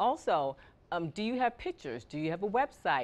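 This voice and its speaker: Lively intonation marks this woman's fairly quick delivery. The background is quiet. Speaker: media publicist, media company founder. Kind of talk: interview. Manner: fast.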